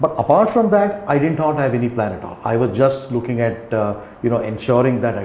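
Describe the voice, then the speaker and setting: A man in an Indian accent talks at a fairly quick pace with a medium pitch, lively intonation and big swings in loudness, with audible room echo and noticeable background noise. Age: 60s. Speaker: company founder and CEO. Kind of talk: podcast interview. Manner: halting.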